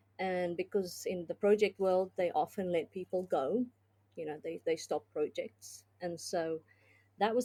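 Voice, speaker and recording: A woman with a dark, mellow tone talks at medium pitch and a moderate pace. Her ordinary pitch variation comes through a dry, close sound with no echo. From South Africa. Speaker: business consultant and tech executive. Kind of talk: podcast interview. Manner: hesitant, many fillers.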